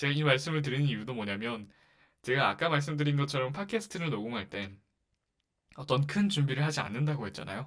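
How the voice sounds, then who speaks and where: A normal speaking voice comes through at a fairly quick pace. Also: man. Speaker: podcast host. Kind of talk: casual monologue.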